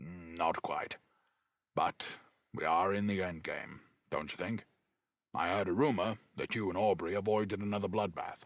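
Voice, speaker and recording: A put-on character voice moves at a moderate pace with fairly even intonation and long, frequent pauses, captured in a very clean recording with a silent background. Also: man, fairly low pitch for a man. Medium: read story. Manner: blunt, clipped.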